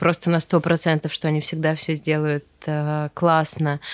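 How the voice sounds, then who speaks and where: A woman with a very deep, low pitch talks at a fairly slow pace in a monotone, flat intonation. The sound is dry and close, with no echo. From Russia, Veliky Novgorod. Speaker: wedding decor studio founder. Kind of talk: casual interview chat.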